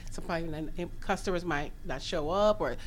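A plain, everyday voice with fairly even intonation at a moderate pace. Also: woman. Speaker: chef and caterer. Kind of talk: radio interview. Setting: studio.

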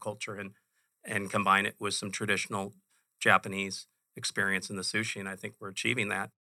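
Fairly quick and monotone, a man with an American accent speaks with a flat intonation, a fairly low pitch and a bright, sharp tone. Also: very clean recording, silent background. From Chicago, US Midwest. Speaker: restaurant company founder. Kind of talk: interview.

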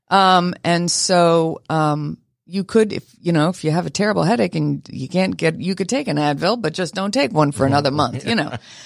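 A woman with an unremarkable speaking voice, fairly low in pitch, at a moderate pace, in a very clean recording with a silent background and a dry, close sound with no echo. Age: 60s. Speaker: kidney donor and corporate employee. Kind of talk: radio interview. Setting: studio.

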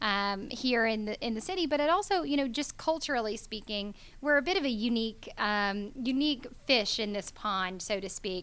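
At a moderate pace, a woman speaks in a bright, sharp tone at a fairly high pitch. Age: young. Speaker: hydropower company founder. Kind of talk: interview. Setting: studio.

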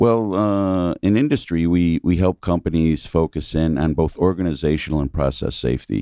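A man's very deep, low voice, dark and mellow, with ordinary pitch variation, very even loudness, a moderate pace and hardly any pauses, in a dry, close sound with no echo against a quiet background. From New York State, near Binghamton. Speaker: company CEO. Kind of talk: radio interview. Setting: radio studio.

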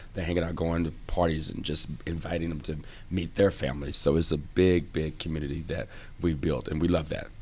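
Over audible room echo, a man with an American accent talks at a fairly quick pace in a very deep, low pitch with monotone, flat intonation. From Texas. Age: 40s. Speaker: fitness club manager. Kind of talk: casual interview.

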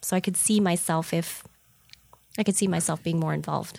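A woman speaks at a fairly low pitch with an American accent. Her voice has vocal fry. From Southern California, San Diego. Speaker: insurance agency owner. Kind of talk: interview. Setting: studio.

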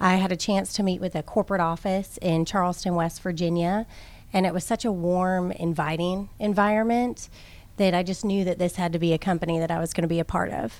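Fairly quick pace and fairly even intonation from a normal speaking voice. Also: woman, fairly low pitch for a woman. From Minnesota and Georgia (moved as child). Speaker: staffing agency operations director. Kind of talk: radio interview. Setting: radio studio.

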